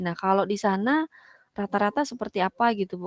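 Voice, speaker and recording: A fairly quick pace with a West Javanese accent. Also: woman, dry, close sound with no echo. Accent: Sundanese. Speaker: teacher. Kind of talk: online discussion.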